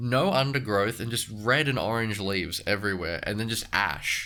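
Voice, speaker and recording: With an Australian accent, a man speaks at a medium pitch in a bright, sharp tone with lively intonation. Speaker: podcast host. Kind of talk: casual chat. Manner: halting.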